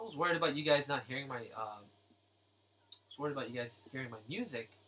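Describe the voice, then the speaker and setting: Music plays in the background as a man speaks at a very fast pace. His voice is fairly high, with lively intonation. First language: not English. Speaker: artist live-streaming drawing. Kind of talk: live stream tutorial chat. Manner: halting, with fillers. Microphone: volume was too quiet, turned down.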